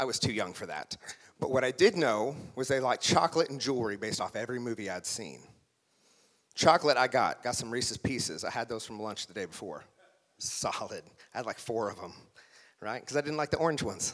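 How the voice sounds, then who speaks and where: Talking at a very fast pace yet with long, frequent pauses, a man of medium pitch with an American accent has an animated tone and lively intonation. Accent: Oklahoma accent, comes through at times. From Oklahoma, small town. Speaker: motivational speaker. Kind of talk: motivational speech. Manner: animated storytelling.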